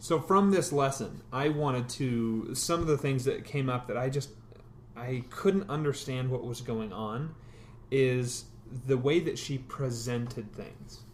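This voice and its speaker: A man talks at a fairly slow pace, his pitch medium with ordinary variation. His voice is somewhat breathy. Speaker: podcast co-host. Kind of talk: casual chat.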